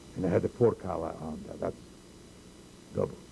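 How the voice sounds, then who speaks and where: This man's voice has a dark, mellow tone with vocal fry. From Poland. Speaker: holocaust survivor. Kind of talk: oral history interview. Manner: halting.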